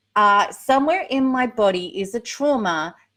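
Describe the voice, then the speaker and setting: A woman speaks with an Australian accent. Her pitch variation is ordinary. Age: 50s. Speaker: recovery coach. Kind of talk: live Q&A. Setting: livestream. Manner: casual, chatty.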